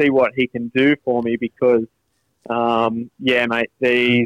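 A man speaks with an Australian accent. His pace is fairly slow. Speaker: podcast co-host. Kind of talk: casual chat. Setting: phone call.

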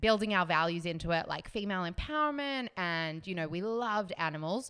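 In a bright, sharp tone, a woman with a fairly low voice speaks at a moderate pace on a very clean recording with a silent background. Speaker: fashion designer and former blogger. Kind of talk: casual interview chat.

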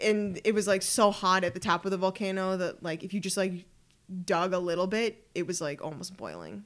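Speaking at a fairly quick pace, a woman with a Canadian accent has a normal speaking voice. Her pitch is medium, with fairly even intonation. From Ottawa, Canada. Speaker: traveler. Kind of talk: casual chat.

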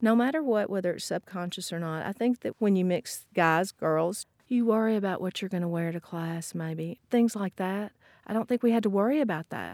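A woman with a Southern US accent, medium pitch, ordinary pitch variation and a moderate pace, in a very clean recording with a silent background and a dry, close sound with no echo. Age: 50s. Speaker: alumna. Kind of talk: recorded conversation.

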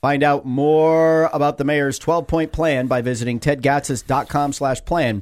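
On a very clean recording with a silent background, a plain, everyday voice speaks with fairly even intonation. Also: man. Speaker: radio talk show host. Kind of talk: radio interview. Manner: rambling, conversational.

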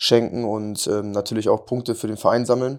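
In a very clean recording with a silent background, a man speaks at a medium pitch and a moderate pace in a monotone, flat intonation. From western Germany, Lower Rhine. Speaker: professional footballer. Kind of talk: podcast interview. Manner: halting, many fillers.

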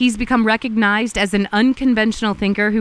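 This is a woman's voice. Her pitch is fairly high. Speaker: podcast host and journalist. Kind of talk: scripted intro narration. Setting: outdoors in rainforest.

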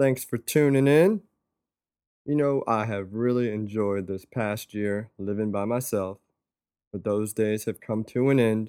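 The speech moves at a fairly slow pace with an American accent and ordinary pitch variation, in an unremarkable speaking voice. The sound is dry and close, with no echo. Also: man, fairly low pitch for a man. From North Carolina (Fayetteville). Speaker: podcast host. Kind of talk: casual chat.

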